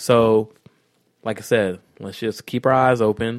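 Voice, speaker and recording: The man speaks at a moderate pace and medium pitch, his intonation monotone and flat. The sound is dry and close, with no echo. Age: 30s. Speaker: podcast co-host. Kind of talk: casual chat.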